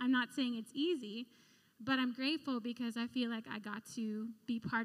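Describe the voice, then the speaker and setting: The speech is somewhat breathy, at a moderate pace, with fairly even intonation. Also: woman. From Philippines. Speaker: recruitment director. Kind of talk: testimony. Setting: church.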